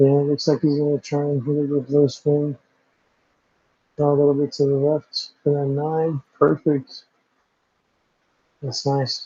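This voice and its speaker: This man talks in an American accent at a fairly slow pace, with long, frequent pauses and monotone, flat intonation. His fairly high-pitched voice is somewhat breathy with a dark, mellow tone, and the sound is dry and close with no echo. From Southern California, Los Angeles area. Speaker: pool commentator. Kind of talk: live commentary.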